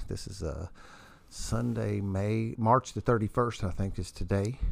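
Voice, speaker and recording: Fairly slow speech from a man with an American accent and ordinary pitch variation, on a very clean recording with a silent background. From US Midwest (southern Indiana). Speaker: podcast host, recovering addict. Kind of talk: casual chat. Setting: home studio in wood shop. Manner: animated.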